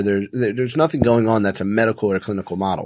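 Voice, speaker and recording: Words come out very fast with an American accent. Behind the voice, things are quiet. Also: man. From Philadelphia, US. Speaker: business owner and CEO. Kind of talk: casual interview conversation.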